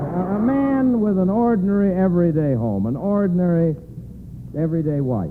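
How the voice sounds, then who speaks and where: Amid noticeable background noise, a man speaks at a fairly quick pace in a high voice, his pitch swinging very widely while his loudness stays very even. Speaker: actor and radio guest. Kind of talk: radio guest banter, theatrical delivery.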